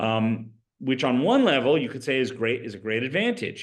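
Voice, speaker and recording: At a moderate pace, a man talks in an unremarkable speaking voice at a medium pitch. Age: 60s. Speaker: rabbi. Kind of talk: lecture. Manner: conversational.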